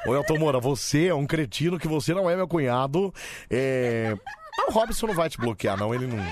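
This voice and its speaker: Over noticeable background noise, a man with fairly high pitch talks at a moderate pace using lively intonation. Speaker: late-night radio host. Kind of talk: casual radio banter with callers. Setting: radio studio. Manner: animated, joking.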